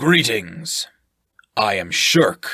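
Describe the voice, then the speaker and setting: A loud, raspy put-on character voice from a man. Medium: read story. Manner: boisterous, jovial.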